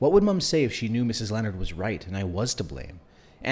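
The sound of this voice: An unforced reading voice carries the whole passage.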